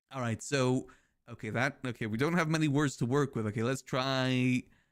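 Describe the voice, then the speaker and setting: A man speaks with a British accent at a moderate pace. His pitch is medium, and the recording is very clean with a silent background. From Britain. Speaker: video game streamer. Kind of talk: casual live-stream chat. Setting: live stream.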